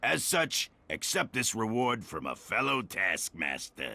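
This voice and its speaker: A put-on character voice at a fairly slow pace, with very wide pitch swings. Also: man, medium pitch for a man. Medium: video game. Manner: grandiose, smug.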